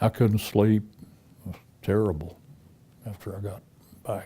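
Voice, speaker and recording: A man speaks at a moderate pace in a fairly low pitch. His dark, mellow tone is somewhat breathy. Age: 90s. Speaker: war veteran. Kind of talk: testimony. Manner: halting.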